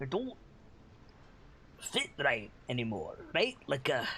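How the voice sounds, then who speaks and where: Over clear background noise, a man puts on a character voice at a fairly high pitch. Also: fairly slow pace. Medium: actual play. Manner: wry, rambling, weary.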